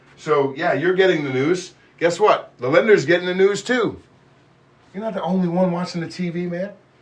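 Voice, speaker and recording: A man talks at a fairly quick pace with a high pitch. His pitch variation is ordinary. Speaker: mortgage loan officer. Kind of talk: live stream Q&A. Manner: fast; casual rambling.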